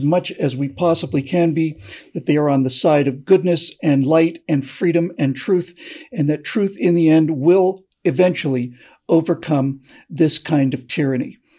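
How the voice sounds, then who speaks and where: A man speaks at a moderate pace with a dark, mellow tone. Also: quiet background. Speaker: co-host, political commentator. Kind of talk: political monologue, speechifying. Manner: earnest, oratorical, repeating words while thinking. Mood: earnest, persuasive. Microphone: video call.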